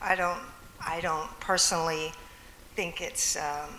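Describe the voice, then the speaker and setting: Audible room echo and noticeable background noise surround this woman as she speaks. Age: 60s. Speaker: musician. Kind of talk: panel discussion. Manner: halting.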